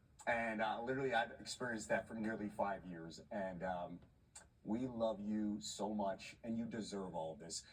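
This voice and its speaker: This voice has a Philadelphia accent and moves at a moderate pace. Its pitch varies in an ordinary way. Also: man, fairly low pitch for a man. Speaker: sports TV anchor. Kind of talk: on-air tribute. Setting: TV studio, live broadcast. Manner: halting, with fillers.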